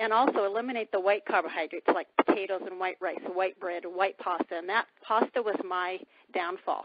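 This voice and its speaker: A woman with a plain, everyday voice speaks at a moderate pace, her pitch medium and her pitch variation ordinary. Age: 60s. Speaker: testimonial guest on a sales call. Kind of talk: testimony.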